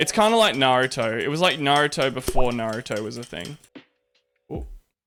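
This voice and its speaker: Over music in the background, a man with an Australian accent speaks fairly quickly at a medium pitch. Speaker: Twitch streamer. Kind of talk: casual live stream talk while making coffee. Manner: laid back.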